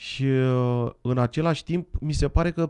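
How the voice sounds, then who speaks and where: The voice has a dark, mellow tone. Its intonation is lively. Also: man, quiet background. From Romania. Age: 40s. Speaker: guest. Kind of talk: interview with live interpreting. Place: studio. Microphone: studio mic.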